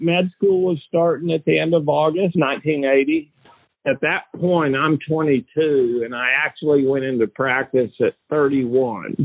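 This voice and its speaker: A man speaks at a moderate pace in a fairly high voice. It is a plain, everyday voice with ordinary pitch variation. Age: 60s. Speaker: orthopedic surgeon, victim's widower. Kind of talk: interview testimony.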